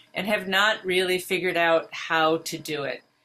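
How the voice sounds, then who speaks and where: A woman talks at a medium pitch, with noticeable background noise behind her. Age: 70s. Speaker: teacher and program founder. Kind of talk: video call Q&A.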